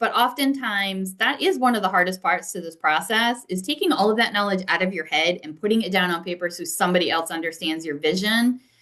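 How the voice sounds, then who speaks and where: An ordinary speaking voice from a woman at medium pitch with lively intonation. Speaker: banker and small business mentor. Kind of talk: online presentation. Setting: online presentation.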